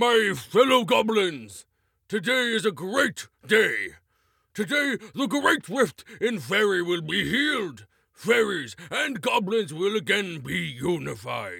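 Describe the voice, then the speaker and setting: A man puts on a character voice, pitched high and moving at a fairly slow pace. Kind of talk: regal proclamation. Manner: pompous, commanding.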